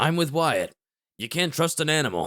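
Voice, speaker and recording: A man puts on a raspy character voice at a fairly high pitch, with ordinary pitch variation and a moderate pace, in a very clean recording with a silent background. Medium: read story. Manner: gruff, blunt, mocking.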